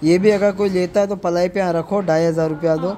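Faint background noise sits beneath a man's high-pitched voice, dark and mellow in tone, moving at a fairly quick pace with fairly even intonation.

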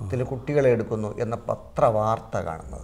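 Pitch variation stays ordinary as the man talks. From Kerala, India. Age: 60s. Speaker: Kathakali artist; interviewee. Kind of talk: interview. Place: studio. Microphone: lapel.

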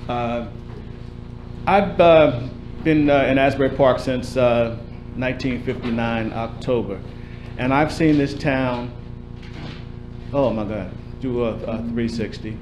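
Slow, fairly even speech from a man with a medium pitch, over clear background noise

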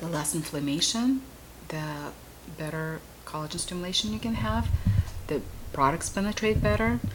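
A woman talks at a moderate pace in a very deep, low voice with very wide pitch swings. There are long, frequent pauses, and music plays in the background. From Russia. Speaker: esthetician, spa owner. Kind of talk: explanatory chat during treatment. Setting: spa treatment room. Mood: warm, calm, soothing.

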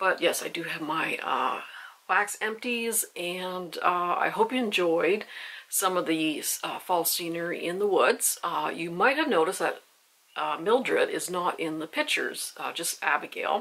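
Her pace fairly slow, a woman speaks with ordinary pitch variation. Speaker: candle reviewer. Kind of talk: casual vlog chat. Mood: calm, slightly somber. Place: home room.

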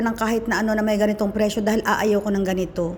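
A woman speaks at a very fast pace. Her tone is animated. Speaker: vlogger. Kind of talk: casual storytelling vlog.

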